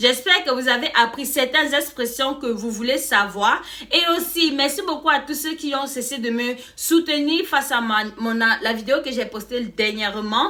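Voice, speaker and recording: Against noticeable background noise, a woman speaks in a raised, projected, high-pitched voice with an animated tone, ordinary pitch variation, hardly any pauses and a fairly slow pace. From Cameroon. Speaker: YouTuber. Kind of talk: casual vlog explaining slang.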